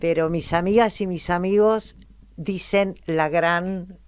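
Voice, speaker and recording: This woman talks at a very slow pace in a medium pitch, with ordinary pitch variation. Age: 70s. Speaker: actress. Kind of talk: interview.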